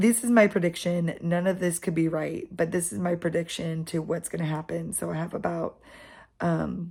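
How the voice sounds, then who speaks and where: Speaking at a moderate pace with a fairly low pitch, a woman has a dark, mellow tone, vocal fry and ordinary pitch variation on a very clean recording with a silent background. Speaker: book vlogger. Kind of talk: casual reading vlog.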